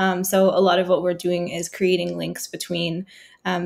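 A woman in a Nova Scotian accent with a fairly low pitch and vocal fry, at a moderate pace. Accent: Canadian (Nova Scotia). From Halifax, Nova Scotia. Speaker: social entrepreneur. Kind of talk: podcast interview.

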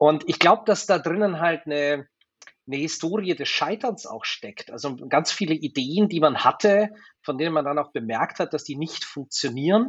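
An unremarkable speaking voice from a man, fairly high in pitch, with lively intonation at a moderate pace. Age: 40s. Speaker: digitalisation manager at an energy company. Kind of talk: interview.

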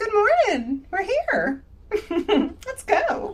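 An extremely high, squeaky put-on character voice fills the clip. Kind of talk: casual. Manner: chipper, bright.

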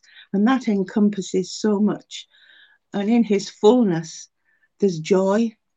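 A woman's medium-pitched voice with a dark, mellow tone, ordinary pitch variation and a fairly slow pace, dry and close with no echo over a quiet background. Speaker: churchgoer sharing testimony. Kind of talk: testimony.

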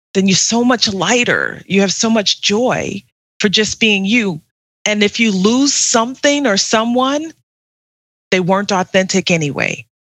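A woman's normal speaking voice, medium in pitch with ordinary pitch variation, at a fairly slow pace. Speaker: author and communication coach. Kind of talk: interview chat.

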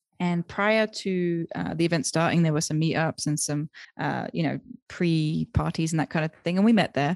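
A woman with an English accent speaks at a moderate pace and a fairly low pitch, her intonation fairly even. The sound is dry and close with no echo over a quiet background. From UK. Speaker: virtual assistant coach and business founder. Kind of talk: interview. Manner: hesitant, many fillers.

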